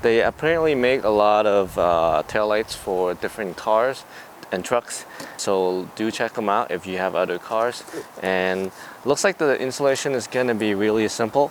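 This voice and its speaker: The voice keeps a moderate pace and ordinary pitch variation over noticeable background noise. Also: man, fairly low pitch for a man. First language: not English. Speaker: car DIY YouTuber. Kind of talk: tutorial. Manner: casual.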